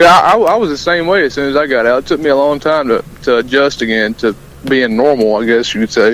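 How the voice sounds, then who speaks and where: With a Southern US accent, a man talks at a very fast pace with lively intonation and a fairly high pitch. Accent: Southern US country accent, moderate. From US South (rural Alabama). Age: 20s. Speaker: country musician and army sergeant. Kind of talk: radio interview.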